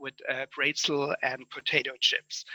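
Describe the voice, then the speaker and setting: In a bright, sharp tone, a man speaks at a fairly slow pace, the sound dry and close with no echo. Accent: German. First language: German. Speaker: conference speaker. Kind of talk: conference summary talk. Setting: online conference.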